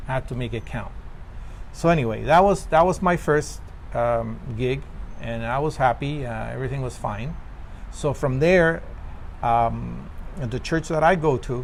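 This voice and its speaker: A man with a Spanish accent at a moderate pace, with long, frequent pauses. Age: 50s. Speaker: actor. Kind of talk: interview. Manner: halting.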